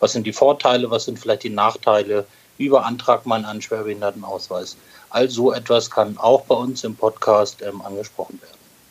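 A man's medium-pitched voice stays monotone and flat at a moderate pace, with big swings in loudness and noticeable background noise. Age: 40s. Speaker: podcast co-host, medical tech sales rep. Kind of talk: casual podcast chat. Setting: hotel room, remote recording.

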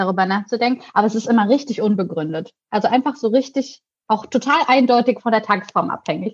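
Speaking at a very fast pace, a woman uses a fairly high, somewhat breathy voice with ordinary pitch variation. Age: 20s. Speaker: YouTube presenter and editor. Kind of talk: casual chat.

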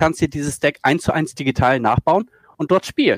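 At a fairly quick pace, a normal speaking voice moves with ordinary pitch variation in a dry, close sound with no echo. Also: man. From northern Germany, Schleswig-Holstein. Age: 40s. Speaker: esports video editor. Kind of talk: casual chat.

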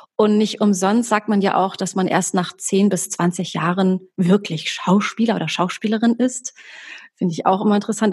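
A somewhat breathy woman talks with fairly even intonation at a moderate pace. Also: medium pitch for a woman. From Germany, Hamburg. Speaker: actress and voice coach. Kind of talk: podcast interview.

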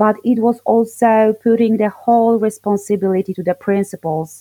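With a Polish accent, a woman talks at a moderate pace in a fairly high pitch, her tone dark and mellow, her intonation fairly even, and the sound dry and close with no echo. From southern Poland. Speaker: English teacher. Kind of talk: interview.

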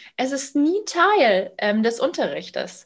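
A woman speaks at a fairly slow pace. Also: quiet background. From Bavaria, Munich area. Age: 30s. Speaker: sales coach and founder. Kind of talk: podcast interview.

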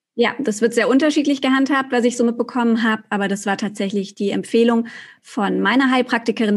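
Very fast speech from a woman, fairly high in pitch, with fairly even intonation. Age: 30s. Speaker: journalist and podcaster. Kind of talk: interview.

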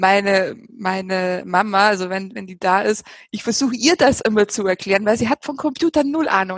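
A woman has an unremarkable speaking voice at medium pitch. She moves at a moderate pace with ordinary pitch variation. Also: dry, close sound with no echo. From Bavaria. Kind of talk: casual chat.

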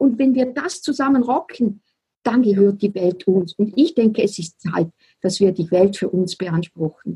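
A somewhat breathy woman with a Swiss accent, medium pitch and a dark, mellow tone, at a fairly slow pace, in a dry, close sound with no echo. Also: lively intonation. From Switzerland. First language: Swiss German (speaking German). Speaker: spiritual business coach. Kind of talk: casual interview chat.

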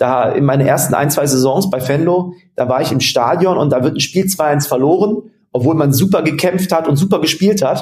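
Ordinary pitch variation and a somewhat breathy tone mark this man's speech. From western Germany, near Mönchengladbach. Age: 30s. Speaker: sports management agency founder. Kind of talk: interview.

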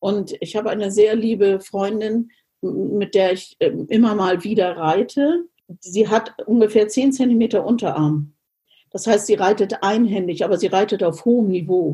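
At a fairly slow pace, a woman speaks in a somewhat breathy, dark, mellow tone of medium pitch, with ordinary pitch variation. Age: 60s. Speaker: riding instructor. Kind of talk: interview.

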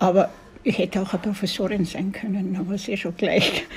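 Noticeable background noise fills the clip. A woman talks at a moderate pace and a medium pitch. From Austria, Tyrol (Kitzbühel area, rural). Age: 70s. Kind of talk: interview. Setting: restaurant by a lake.

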